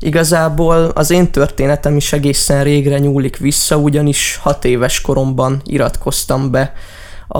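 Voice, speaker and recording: A man's fairly high voice, flat and monotone, at a moderate pace, with audible room echo and noticeable background noise. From Hungary, Debrecen area. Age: young. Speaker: musician. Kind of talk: radio interview.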